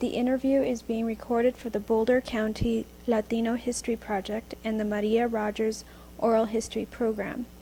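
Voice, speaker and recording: Her tone dark and mellow, a woman speaks somewhat breathily at a fairly quick pace in a monotone, flat intonation. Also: fairly high pitch for a woman. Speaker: oral history interviewer. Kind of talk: interview questions.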